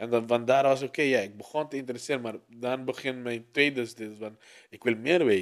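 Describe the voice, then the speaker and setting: This man has a plain, everyday voice at a medium pitch with fairly even intonation. His loudness swings widely. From Aruba. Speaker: music producer. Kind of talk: casual chat.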